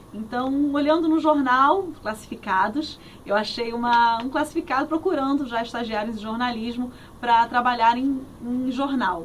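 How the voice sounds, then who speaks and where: The woman's voice is high and moves at a moderate speed. Its pitch varies in an ordinary way. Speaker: radio host and journalist. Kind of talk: interview answer. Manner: cheerful, friendly.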